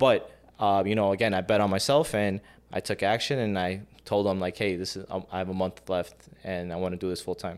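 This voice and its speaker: A man with an American accent speaks in a plain, everyday voice at a fairly quick pace, fairly low in pitch with fairly even intonation. The recording is very clean, with a silent background. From Chicago. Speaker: short-term rental business owner. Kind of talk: interview.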